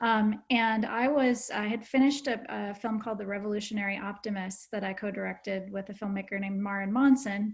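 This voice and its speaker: Her voice somewhat breathy and medium in pitch, a woman talks at a fairly quick pace with fairly even intonation and hardly any pauses. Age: 50s. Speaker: documentary film director. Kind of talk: panel discussion. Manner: hesitant, many fillers.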